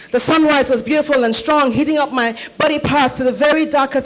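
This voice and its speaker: Music plays in the background as a high-pitched woman talks at a fairly quick pace. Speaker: spoken word poet. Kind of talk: spoken word poetry performance.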